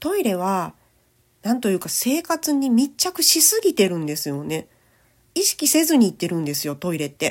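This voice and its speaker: Very wide pitch swings from a woman with fairly high pitch at a moderate pace, on a very clean recording with a silent background. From Japan, Kochi Prefecture. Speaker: radio host, disaster prevention advocate and cartoonist. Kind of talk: casual informational podcast talk. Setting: home recording.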